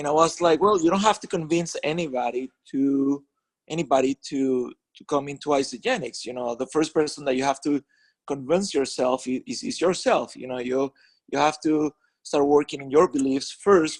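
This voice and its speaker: A man with a Spanish accent speaks at a moderate pace and fairly high pitch, with ordinary pitch variation. His loudness swings widely, and the sound is dry and close with no echo. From Venezuela. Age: 40s. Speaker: network marketing leader and author. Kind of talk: conference call interview. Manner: halting, many fillers and restarts.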